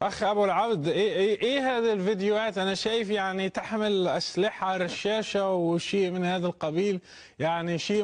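With a quiet background, a man talks at a fairly slow pace in a high pitch. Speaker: TV show host. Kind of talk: interview. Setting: studio. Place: studio. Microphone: lapel.

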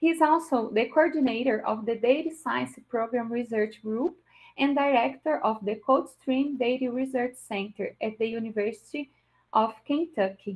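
A woman with a Portuguese accent, high in pitch, with ordinary pitch variation. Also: moderate pace, quiet background. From Brazil. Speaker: event moderator. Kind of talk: formal introduction and Q&A moderation. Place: home room. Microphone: video call.

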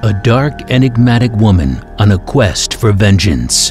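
Fairly low male voice with lively intonation at a fairly slow pace, over music in the background. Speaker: voice-over narrator. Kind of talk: movie trailer.

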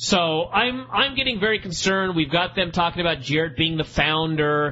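A man with a high-pitched voice talks against noticeable background noise. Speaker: wrestling podcast host. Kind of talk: casual chat.

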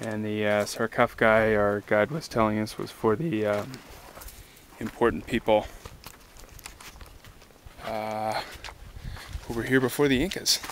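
A man's fairly low voice at a fairly slow pace, fairly even in intonation, with long, frequent pauses, dry sound with no echo and light background noise. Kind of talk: casual vlog chat. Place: open country. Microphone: phone near.

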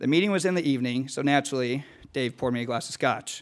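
A man talks at a very fast pace in a fairly high pitch over a quiet background. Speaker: business school student. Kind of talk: formal introduction. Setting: stage with audience. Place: hall. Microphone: podium.

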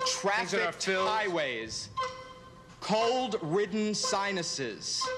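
Clear music plays behind a man speaking at a very slow pace in a high voice with very wide pitch swings. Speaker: game show contestant giving clues. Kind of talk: game show clue-giving. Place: stage. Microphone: podium.

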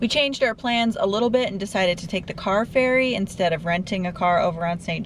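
A woman's somewhat breathy voice, fairly quick in pace with ordinary pitch variation, dry with no echo and light background noise. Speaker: travel vlogger. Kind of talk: casual vlog chat. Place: car. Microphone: phone near.

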